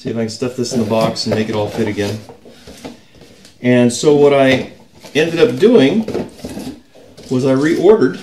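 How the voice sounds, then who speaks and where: With light background noise, a man speaks at a fairly slow pace with ordinary pitch variation. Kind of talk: casual vlog chat. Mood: mildly annoyed, griping. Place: home room. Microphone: camera far.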